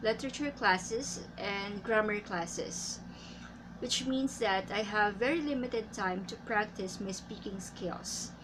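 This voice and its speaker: Speaking very slowly with vocal fry, a woman with a Filipino accent uses a medium pitch and ordinary pitch variation. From Philippines. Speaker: English teacher. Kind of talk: tutorial. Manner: halting.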